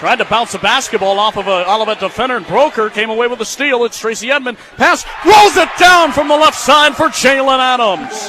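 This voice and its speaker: Over noticeable background noise, a man with an American accent projects a raised voice at an extremely high pitch, swinging very widely in pitch at a fairly quick pace. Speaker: college radio sports play-by-play broadcaster. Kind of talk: basketball radio play-by-play.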